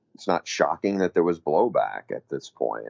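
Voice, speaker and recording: Vocal fry runs through this voice. The speaker is a man. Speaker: college football analyst and sideline reporter. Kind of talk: casual sports talk podcast. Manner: relaxed, lower energy than on air.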